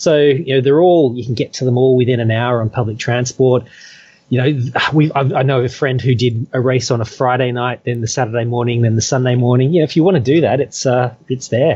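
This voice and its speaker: Somewhat breathy, a man with an Australian accent talks at a fairly quick pace, medium pitch and fairly even intonation. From Australia (Perth). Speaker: trail runner. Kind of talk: interview. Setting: remote call.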